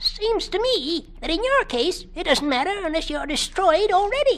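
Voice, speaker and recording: In a put-on character voice, a woman squeaks at an extremely high pitch. Her pitch swings very widely while her pace stays moderate. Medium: read story. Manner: gruff, folksy.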